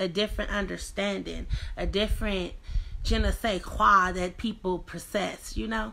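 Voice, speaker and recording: Using lively intonation, a woman with a medium pitch and vocal fry speaks at a fairly slow pace. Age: 30s. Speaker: vlogger. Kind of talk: casual livestream talk. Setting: livestream at home. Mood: earnest, reflective, motivational. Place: home room. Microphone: phone near.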